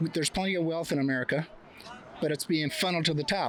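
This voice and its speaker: Speech at a fairly quick clip, with noticeable noise behind it. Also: man. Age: 70s. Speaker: street interviewee at a protest. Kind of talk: street interview.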